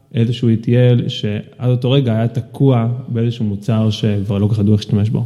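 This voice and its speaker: A medium-pitched male voice, monotone and flat, at a fairly quick pace with hardly any pauses, very even loudness, and noticeable background noise. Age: 30s. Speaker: product executive. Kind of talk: casual interview. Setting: home studio.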